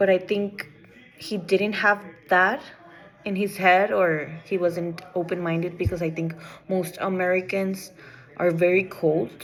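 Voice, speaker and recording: A woman with a non-native accent speaks at a fairly slow pace and medium pitch, with fairly even intonation and long, frequent pauses. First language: not English. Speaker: student. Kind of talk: class assignment presentation. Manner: halting, with false starts.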